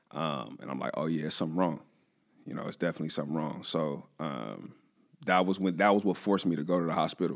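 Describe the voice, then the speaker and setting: Very fast speech comes from a man with a very deep, low pitch. There is vocal fry, and his pitch varies in an ordinary way. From Southern California, San Bernardino. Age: 20s. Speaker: cancer patient, former college football player. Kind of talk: personal testimony in interview. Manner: casual, animated storytelling.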